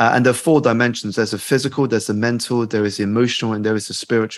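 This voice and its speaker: A man's medium-pitched voice with a British accent. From UK, Chinese family. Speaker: life coach and author. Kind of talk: interview.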